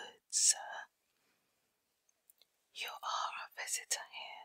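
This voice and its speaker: Whispering at a very slow pace, the voice has a gentle, soothing tone. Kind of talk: whispered bedtime story reading for ASMR. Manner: whispered, gentle, soothing.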